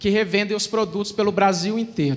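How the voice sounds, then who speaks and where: A man speaks with a Minas Gerais accent. His high-pitched voice keeps a fairly even intonation. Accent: mineiro (Minas Gerais) Brazilian Portuguese. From Brazil, Minas Gerais (Uberlândia). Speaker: e-commerce manager. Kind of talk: conference talk.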